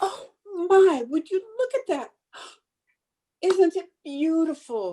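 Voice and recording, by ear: A woman's put-on character voice, extremely high in pitch yet dark and mellow in tone, with lively intonation at a slow pace.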